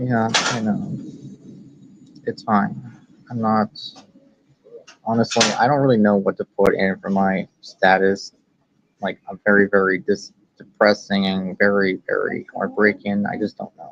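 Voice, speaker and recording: A man speaks at a fairly low pitch and fairly slow pace, with long, frequent pauses and big swings in loudness. His intonation is fairly even, and the sound is dry and close with no echo. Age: 20s. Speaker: grieving friend of the streamer. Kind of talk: casual chat. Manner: halting.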